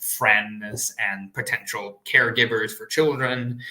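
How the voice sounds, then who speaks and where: Over noticeable background noise, a speaker with an American accent talks with fairly even intonation. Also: man. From United States. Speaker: PhD student. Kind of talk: live online Q&A. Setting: live stream panel. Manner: hesitant, many fillers.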